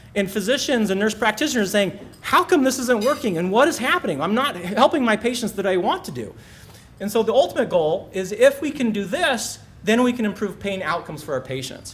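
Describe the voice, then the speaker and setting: Amid noticeable background noise, a man with a high voice talks in an animated tone at a fairly quick pace, his pitch swinging very widely. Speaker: physician, pain specialist. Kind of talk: presentation talk. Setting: stage with audience. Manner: fast.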